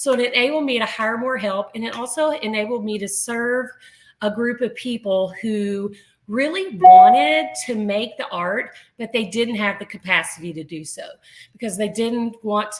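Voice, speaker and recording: Fairly high in pitch with ordinary pitch variation, a woman uses a normal speaking voice at a moderate pace. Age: 60s. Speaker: artist and business owner. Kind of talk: interview.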